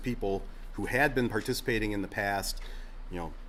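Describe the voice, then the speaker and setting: A man at a very fast pace, fairly even intonation, with audible room echo. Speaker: state agriculture official. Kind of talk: conference presentation with Q&A.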